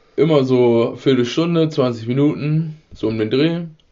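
Audible room echo fills the space. A man with a medium pitch and ordinary pitch variation speaks at a fairly slow pace. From rural Germany. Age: 20s. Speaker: podcast host. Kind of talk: casual chat. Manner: laughing.

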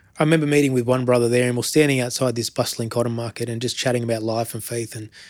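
Speaking very fast, a man with an Australian accent keeps a medium pitch and fairly even intonation. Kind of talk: interview.

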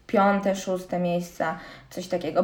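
A woman speaks at a fairly quick pace, and noticeable background noise is present. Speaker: CrossFit athlete and student. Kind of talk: casual interview chat.

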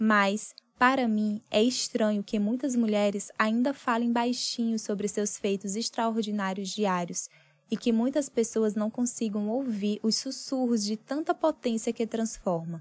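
A woman's somewhat breathy voice, fairly high in pitch, with ordinary pitch variation and a fairly slow pace. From Piauí semi-arid, northeastern Brazil. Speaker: journalist. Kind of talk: personal essay narration.

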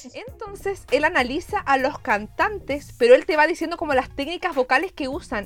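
Over music in the background, a woman with a Chilean accent speaks at a moderate pace in a high, animated voice, with lively intonation and hardly any pauses. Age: 20s. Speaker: podcast co-host. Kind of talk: casual chat.

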